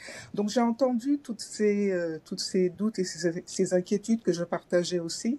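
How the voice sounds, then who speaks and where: A woman's somewhat breathy, dark, mellow voice at a medium pitch, with ordinary pitch variation, a fairly slow pace and hardly any pauses. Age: 60s. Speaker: former civil servant training as finance coach. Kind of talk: testimony. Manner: hesitant, many fillers.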